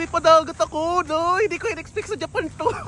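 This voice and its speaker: A man uses a raised, projected voice at an extremely high pitch. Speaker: travel vlogger. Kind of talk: travel vlog narration. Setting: outdoors. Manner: casual, chatty.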